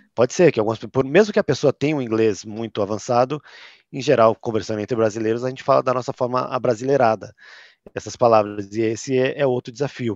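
With a São Paulo accent, a man speaks very fast at a medium pitch and ordinary pitch variation, the sound dry and close with no echo against a quiet background. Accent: São Paulo (paulistano). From Brazil, São Paulo city. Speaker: tech company content manager. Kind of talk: interview.

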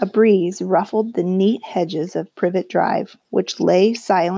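Behind the speaker, the background is quiet. The reading voice is unforced.

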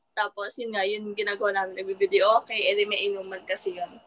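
A woman speaks fairly quickly at medium pitch with ordinary pitch variation. She has an unremarkable speaking voice. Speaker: newlywed guest. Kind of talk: casual chat.

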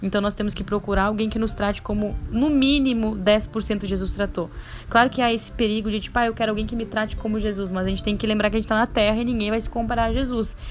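A woman with a fairly high pitch talks at a very fast pace with hardly any pauses, her intonation monotone and flat, over noticeable background noise. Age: 20s. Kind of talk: casual monologue with religious advice.

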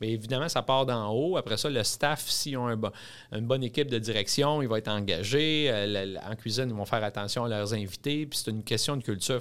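In a very clean recording with a silent background, a man with a Quebec accent talks with ordinary pitch variation. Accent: Québécois French. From Quebec (Drummondville). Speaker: restaurant chain executive. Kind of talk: interview. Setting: studio.

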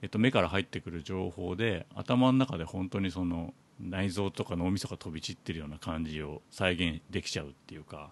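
A man speaks with a very deep, low pitch and ordinary pitch variation. His pace is fairly quick. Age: 40s. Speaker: podcast host. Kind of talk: casual chat.

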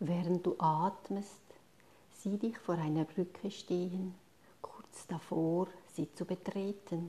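The voice has a gentle, calm tone at a very slow pace. Long, frequent pauses break up the speech. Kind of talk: guided meditation. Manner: slow, calm, soothing pace with long pauses between instructions; soft, gentle and hushed, addressing listener as 'du'.

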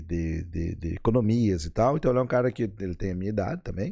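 A man's fairly low voice with a dark, mellow tone at a fairly quick pace, on a very clean recording with a silent background. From western Santa Catarina, Brazil. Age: 50s. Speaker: plastic surgeon. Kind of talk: casual interview chat. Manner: halting, many repetitions.

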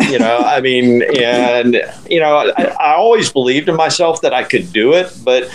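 Against noticeable background noise, a man with an American accent speaks at a moderate pace in a fairly high pitch, his loudness very even. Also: lively intonation. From Central Florida. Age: 60s. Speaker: ultramarathon runner. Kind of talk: casual chat. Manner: halting.

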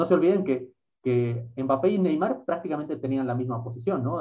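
With an ordinary speaking voice, a man talks at a medium pitch and a fairly quick pace, showing ordinary pitch variation. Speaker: podcast host. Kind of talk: casual interview chat.

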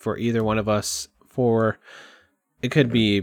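Over a very clean recording with a silent background, a man with an American accent speaks at medium pitch and a fairly slow pace, with fairly even intonation and a dry, close sound with no echo. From Texas, Kerrville near San Antonio. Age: 30s. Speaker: podcaster, content creator. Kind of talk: casual monologue. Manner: casual, halting with sighs.

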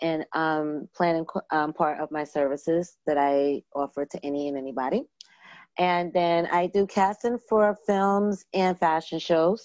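With an American accent, a woman speaks slowly-ish in an ordinary speaking voice, fairly low in pitch with ordinary pitch variation. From New York (Brooklyn, Long Island). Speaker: event planner and producer. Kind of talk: casual interview.

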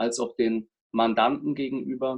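His medium pitch and fairly even intonation carry as the man speaks. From Germany, Palatinate (Kaiserslautern). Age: 30s. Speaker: lawyer and business coach. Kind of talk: interview. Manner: hesitant, many fillers.

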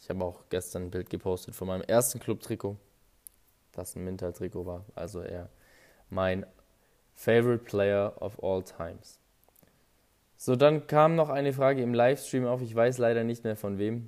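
With big swings in loudness and long, frequent pauses, a man talks at a moderate pace and medium pitch with ordinary pitch variation. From Augsburg, Bavaria, Germany. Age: 20s. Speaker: football fan podcaster. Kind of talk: casual fan podcast Q&A.

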